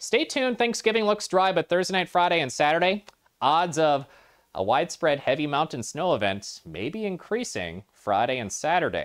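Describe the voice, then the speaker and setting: Over a quiet background, a man with a high pitch speaks in an upbeat tone with very wide pitch swings. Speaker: TV weather forecaster. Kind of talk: regional TV weather report, rattling off snow totals and temperatures by town. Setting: studio. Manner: brisk, upbeat and conversational, tossing in casual asides like 'yeah' and 'Oh yeah'; quick run-on delivery with occasional stumbles and self-corrections. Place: studio. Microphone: lapel.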